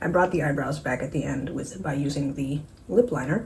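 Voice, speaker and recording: A woman's very deep, low voice with ordinary pitch variation over noticeable background noise. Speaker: beauty vlogger. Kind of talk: makeup tutorial vlog. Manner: fast; animated.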